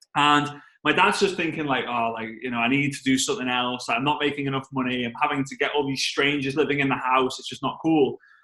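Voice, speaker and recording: A man with a strong Liverpool accent talks at a very fast pace in a bright, sharp tone, his fairly high pitch held to a fairly even intonation. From England, Liverpool. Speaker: network marketing trainer. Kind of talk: storytelling on a team call. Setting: conference call.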